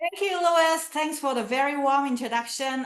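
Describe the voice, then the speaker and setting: A woman with a Chinese accent, bright and sharp in tone, with ordinary pitch variation. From China, Canton (Guangdong). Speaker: professor. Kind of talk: lecture. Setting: video call.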